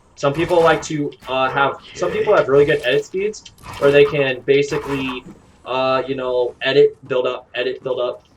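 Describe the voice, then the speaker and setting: Noticeable background noise runs under a man's voice. He speaks with a fairly high pitch and ordinary pitch variation. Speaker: gaming streamer. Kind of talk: tutorial. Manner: fast; halting.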